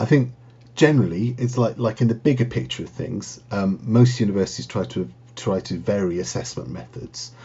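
A man at a moderate pace, with vocal fry and very wide pitch swings. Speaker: university lecturer. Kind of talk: casual interview.

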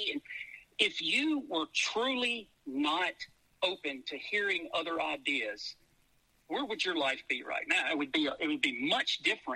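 A man with a Louisiana accent speaks in a high, bright, sharp voice, raised and projected, with very wide pitch swings at a fairly slow pace. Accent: Southern US (Louisiana). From US South, Shreveport, Louisiana. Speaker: businessman. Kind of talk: casual chat.

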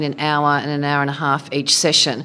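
A woman with an Australian accent talks at a fairly quick pace. Noticeable background noise can be heard. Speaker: former politician. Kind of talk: short interview. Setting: live event.

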